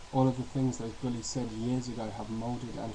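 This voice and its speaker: Noticeable background noise behind a man's fairly quick speech. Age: 20s. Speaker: university student. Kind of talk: personal testimony to webcam.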